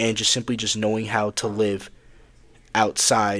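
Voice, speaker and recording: Against a silent background on a very clean recording, a man speaks at a fairly slow pace in a fairly low pitch with monotone, flat intonation. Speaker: student. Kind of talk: casual talk to camera. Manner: halting, some stuttering.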